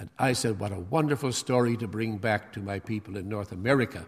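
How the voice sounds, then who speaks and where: Somewhat breathy and fairly quick, the voice shows ordinary pitch variation on a very clean recording with a silent background. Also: man. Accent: Canadian. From Canada. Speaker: bishop preaching a sermon. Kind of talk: sermon. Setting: church. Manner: halting with frequent fillers.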